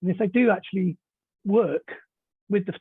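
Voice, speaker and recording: Speaking at a fairly quick pace, a man with a British accent uses ordinary pitch variation. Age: 60s. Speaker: novelist. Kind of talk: interview.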